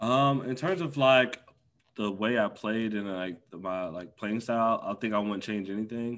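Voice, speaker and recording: Speaking with an American accent, a man has a normal speaking voice. His pace is moderate and his pitch variation ordinary. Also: medium pitch for a man. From US Midwest, Milwaukee, Wisconsin. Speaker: former esports pro and content creator. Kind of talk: casual interview.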